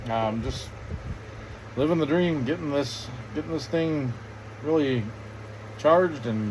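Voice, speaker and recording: Through noticeable background noise, a man with fairly high pitch talks at a moderate pace with ordinary pitch variation. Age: 30s. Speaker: vlogger. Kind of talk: casual chat. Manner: halting.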